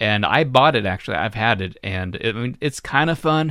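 On a very clean recording with a silent background, a man with an American accent talks at a fairly quick pace in a normal speaking voice, his intonation lively. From Florida, US. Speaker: podcast host. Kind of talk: casual chat.

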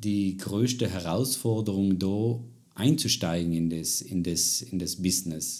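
At a fairly slow pace, a man speaks in a fairly low pitch with a dark, mellow tone and ordinary pitch variation. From South Tyrol, Italy. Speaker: podcast host. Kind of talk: interview. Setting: living room.

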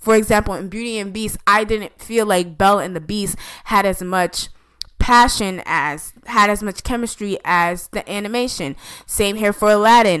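A woman has an ordinary speaking voice. She talks at a moderate pace with a medium pitch and ordinary pitch variation. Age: 20s. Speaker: gaming and entertainment podcast co-host. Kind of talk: casual chat.

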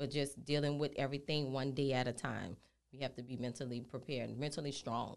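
At a fairly quick pace, a woman with a very deep, low pitch speaks in a New Orleans accent with monotone, flat intonation. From New Orleans, Louisiana. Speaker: healthcare business owner. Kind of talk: podcast interview.

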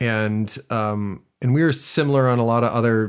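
This man has a plain, everyday voice with an American accent, a medium pitch and fairly even intonation. He speaks at a moderate pace in a very clean recording with a silent background. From US Midwest (southwestern Wisconsin). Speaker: musical theater actor. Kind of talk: interview. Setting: studio.

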